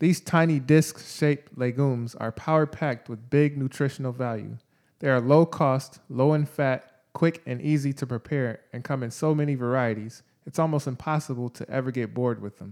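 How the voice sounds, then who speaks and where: In a very clean recording with a silent background, a man with an ordinary speaking voice talks at medium pitch and a moderate pace, his intonation fairly even. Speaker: podcast co-host. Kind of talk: scripted podcast segment.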